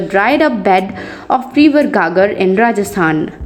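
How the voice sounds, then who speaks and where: A woman speaks with a non-native accent and very wide pitch swings. Noticeable background noise is present. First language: not English. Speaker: educational YouTuber. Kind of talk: history fact narration.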